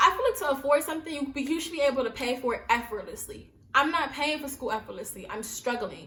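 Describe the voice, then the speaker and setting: A woman's raised, projected voice with an American accent, high in pitch, very fast and with hardly any pauses, animated in tone with lively intonation, over noticeable background noise. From US Northeast, Brooklyn, New York. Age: 20s. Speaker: YouTuber. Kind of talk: casual vlog monologue.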